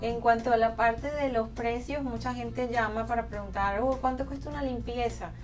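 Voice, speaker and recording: Clear music plays behind a woman who speaks at a moderate pace with fairly even intonation. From Venezuela. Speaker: dentist. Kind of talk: promotional interview talk. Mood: warm, calm, professional. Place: office.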